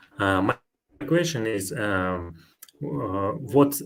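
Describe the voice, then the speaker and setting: With audible room echo, a man in a non-native accent speaks at fairly low pitch with lively intonation. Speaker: software developer. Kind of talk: conference Q&A. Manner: halting.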